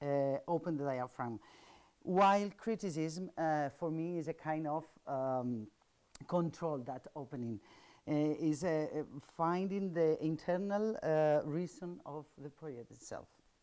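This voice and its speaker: A woman with a Spanish accent speaks in a very deep, low pitch with a dark, mellow tone and ordinary pitch variation. The recording is very clean, with a silent background. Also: fairly slow pace. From Spain. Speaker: architect and professor. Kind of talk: lecture. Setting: seminar panel. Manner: halting.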